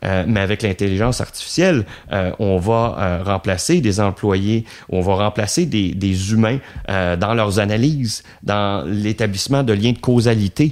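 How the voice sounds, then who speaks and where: At a very slow pace, a man speaks in a fairly low voice with ordinary pitch variation and very even loudness. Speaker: business consultant. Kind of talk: interview. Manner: halting, many fillers.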